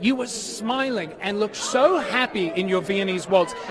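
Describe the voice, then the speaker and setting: A man's high-pitched voice carries lively intonation against noticeable background noise. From Australia. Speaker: red carpet show host. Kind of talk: live red carpet interviews. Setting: outdoor red carpet event, live. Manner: animated.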